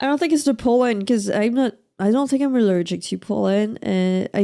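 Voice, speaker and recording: A woman speaks with a French accent in a dark, mellow tone, on a very clean recording with a silent background. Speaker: let's play streamer. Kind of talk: gameplay commentary. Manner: casual, reacting to game.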